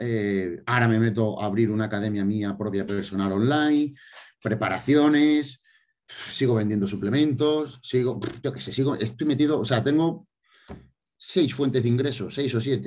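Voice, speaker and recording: A man's medium-pitched voice moves with ordinary pitch variation. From Spain, Extremadura. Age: 30s. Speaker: bodybuilder; interviewee. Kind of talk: interview. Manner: fast. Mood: relaxed, reflective. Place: home room. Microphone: video call.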